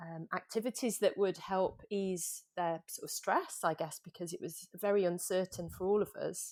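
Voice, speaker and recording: A woman with a slight Manchester accent and hardly any pauses, on a very clean recording with a silent background. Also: moderate pace. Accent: slight Mancunian. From Manchester, northern England. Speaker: yoga coach, former freediver. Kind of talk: podcast interview.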